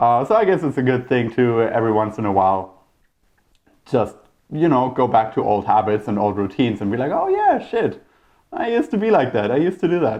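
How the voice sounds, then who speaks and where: Lively intonation and a moderate pace, with a German accent. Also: man. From Germany. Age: 30s. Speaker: podcast host. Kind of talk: casual monologue. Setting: talking to camera. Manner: talkative, rambling.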